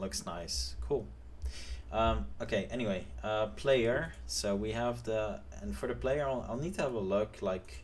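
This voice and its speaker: Mumbling at a fairly slow pace, a man with a fairly low pitch sounds somewhat breathy, his pitch swinging very widely amid audible room echo. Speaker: game developer streamer. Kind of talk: live stream tutorial. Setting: live stream. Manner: hesitant, many fillers.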